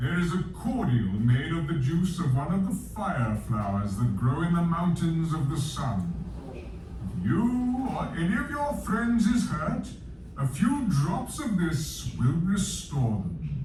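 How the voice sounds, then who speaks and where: A man's put-on character voice, fairly high in pitch and at a fairly slow pace, with clear background noise and a slight echo. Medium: read story. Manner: grave, measured.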